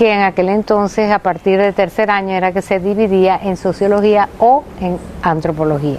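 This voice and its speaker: Fairly even intonation from a woman at medium pitch, moderately paced. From Venezuela, Maracay. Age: 60s. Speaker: anthropologist, retired professor. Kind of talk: interview testimony. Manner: halting.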